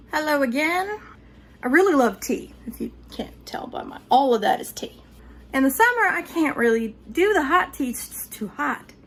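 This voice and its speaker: Upbeat and high-pitched, a woman with a Southern US accent talks at a moderate pace with very wide pitch swings. Her loudness varies a lot, and there is noticeable background noise. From North Georgia, Appalachian Mountains. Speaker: home cook. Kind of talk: casual cooking tutorial talk to camera. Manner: chatty, upbeat.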